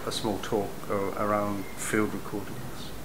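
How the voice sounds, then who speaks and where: A man speaks at a fairly slow pace in an English accent. There is audible room echo and noticeable background noise. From England. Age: 70s. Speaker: musician. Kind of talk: interview. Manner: halting, many fillers.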